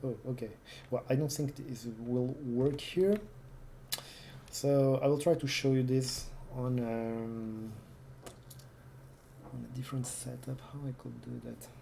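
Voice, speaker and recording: Someone with a non-native accent speaks at a fairly slow pace. Long pauses come often. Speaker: retro computing youtuber. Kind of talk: casual demo walkthrough. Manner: halting, many fillers.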